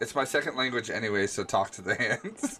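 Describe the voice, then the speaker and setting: Over music in the background, a man with an American accent speaks at a moderate pace. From upstate New York. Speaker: gaming streamer. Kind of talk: live gameplay commentary. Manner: casual, rambling.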